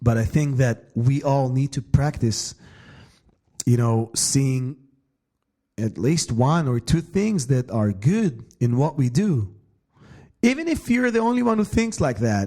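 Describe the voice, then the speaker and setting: A man speaks very slowly in an Israeli accent, leaving long, frequent pauses. His somewhat breathy voice is dark and mellow, with very wide pitch swings. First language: Hebrew. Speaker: bass player and podcast host. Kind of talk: solo podcast monologue. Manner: halting.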